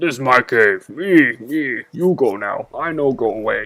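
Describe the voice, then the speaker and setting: Using a put-on character voice, a man growls at a moderate pace in a fairly high pitch. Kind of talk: broken, simple speech. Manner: snarling, aggressive.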